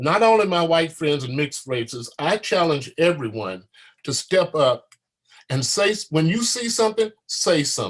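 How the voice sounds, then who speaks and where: With a passionate tone, a high-pitched man speaks at a moderate pace, his pitch swinging very widely. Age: 70s. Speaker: war veteran. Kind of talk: panel discussion.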